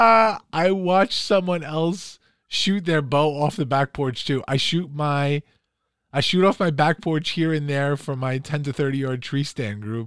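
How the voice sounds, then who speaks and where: This man has a normal speaking voice with an American accent, fairly high in pitch and delivered at a fairly slow pace with ordinary pitch variation. The recording is very clean, with a silent background. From New York, Queens and Long Island. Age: 40s. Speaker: podcast co-host. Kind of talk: casual chat.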